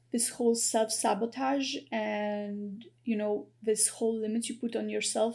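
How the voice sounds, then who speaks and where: This voice has a dark, mellow tone, is somewhat breathy, and keeps a fairly even intonation. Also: woman. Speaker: tarot reader. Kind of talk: psychic tarot reading to camera. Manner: halting, stuttering with many fillers.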